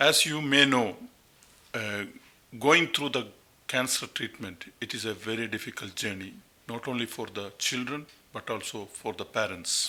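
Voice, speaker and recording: A man with a Keralan accent speaks with ordinary pitch variation and long, frequent pauses. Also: medium pitch for a man, moderate pace. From India, Kerala. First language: Malayalam. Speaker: pediatric oncologist. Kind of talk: interview.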